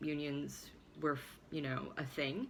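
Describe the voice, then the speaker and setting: At a fairly slow pace, a woman speaks in a very deep, low pitch, with audible room echo. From US Midwest, Chicago suburb. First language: Swabian German dialect. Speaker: vlogger. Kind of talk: personal storytelling monologue. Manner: halting, many fillers.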